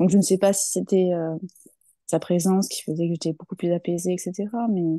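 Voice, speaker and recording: Against a quiet background with a dry, close sound and no echo, a woman speaks at a medium pitch and a fairly quick pace in a dark, mellow tone with monotone, flat intonation. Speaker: grieving mother. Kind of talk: interview answer.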